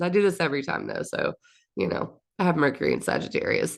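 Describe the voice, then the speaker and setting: A woman speaks at a very fast pace in a medium-pitched voice. Vocal fry runs through her speech. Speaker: astrologer. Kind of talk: monthly forecast talk. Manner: stumbling over words; casual, chatty.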